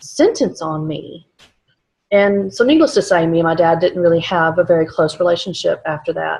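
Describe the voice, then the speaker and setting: A woman talks with a slight Texas accent. Her somewhat breathy voice has lively intonation. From South Texas. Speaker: vlogger. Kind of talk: personal testimony. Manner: halting, many fillers.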